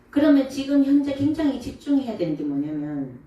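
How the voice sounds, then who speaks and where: Against noticeable background noise, a woman speaks in an animated tone with very wide pitch swings. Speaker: Buddhist monk giving dharma talk. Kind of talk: dharma talk to audience.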